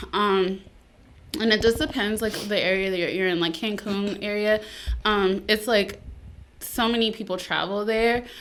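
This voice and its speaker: A woman in a Spanish accent, medium in pitch, at a moderate pace with fairly even intonation and long, frequent pauses. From Texas, Laredo (Mexican border). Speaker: military veteran, mental health advocate. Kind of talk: casual podcast interview.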